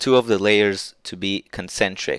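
On a very clean recording with a silent background and a dry, close sound with no echo, a man speaks at a fairly slow pace with fairly low pitch and fairly even intonation. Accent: non-native. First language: not English. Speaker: 3D printing hobbyist YouTuber. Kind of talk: tutorial screen-share walkthrough. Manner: hesitant, many filler words.

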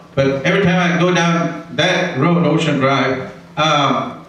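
Strong room echo and light background noise surround a man whose voice sits fairly high in pitch. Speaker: retired judge and council candidate; council candidate. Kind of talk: candidate debate speech. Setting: public forum with audience. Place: hall. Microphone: handheld.

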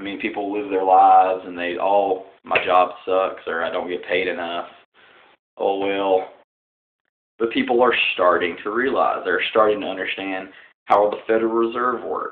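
Here a man talks with a fairly low pitch. His pace is moderate and his intonation fairly even. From Southern United States. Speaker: political vlogger. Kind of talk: casual political talk to camera. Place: home room. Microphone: webcam.

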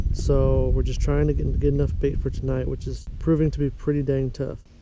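Speech at a moderate pace sounds dry with no echo, though noticeable background noise is present. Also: man. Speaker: angler vlogger. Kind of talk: casual vlog chat. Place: waterside. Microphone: phone near.

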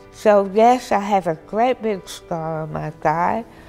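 Music plays in the background as a woman speaks. She goes very slowly, with ordinary pitch variation. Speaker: tongue cancer patient. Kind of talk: interview answer.

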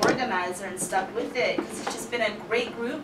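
A speaker talks with an American accent. Loud background noise is heard throughout. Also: woman. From US military family, raised partly in Germany, long in Washington DC. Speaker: meetup group organizer and event planner. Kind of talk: interview conversation. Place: studio.

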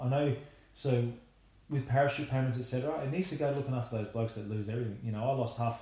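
Talking very fast in an Australian accent, a man with a dark, mellow, somewhat breathy tone keeps a medium pitch and fairly even intonation. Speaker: retired rugby league player. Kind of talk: casual chat.

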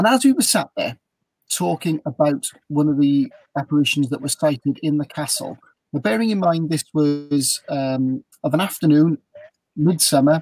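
The voice is somewhat breathy, with a South Wales accent. The background is quiet, and the sound is dry with no echo. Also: man. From South Wales, Newport. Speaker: ghost tour guide. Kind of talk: storytelling on a live video chat. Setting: video call from a motorhome.

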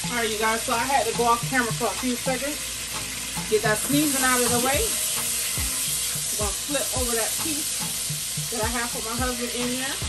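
Amid loud background noise, a woman speaks at a moderate pace with ordinary pitch variation. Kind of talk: casual cooking tutorial. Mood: upbeat, playful. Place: kitchen. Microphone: camera far.

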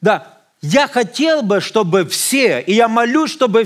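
Extremely high-pitched man at a fairly slow pace, with lively intonation and a quiet background. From Ukraine, Odesa; Ukraine. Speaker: visiting pastor. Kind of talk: sermon. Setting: church. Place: church.

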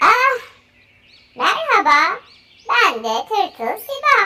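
A woman's squeaky put-on character voice at an extremely high pitch, with very wide pitch swings and a very slow pace. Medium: read story.

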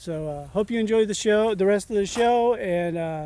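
A man at a moderate pace, with ordinary pitch variation and a dry sound with no echo. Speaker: hiker vlogger. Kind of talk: casual vlog chat. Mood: relaxed, upbeat. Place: open country. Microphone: phone near.

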